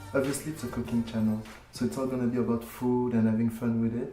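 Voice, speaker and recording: Over noticeable background noise and audible room echo, a man with a French accent speaks in a monotone, flat intonation. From France. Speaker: cooking channel creator. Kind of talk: casual self-introduction to camera. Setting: filmed to camera.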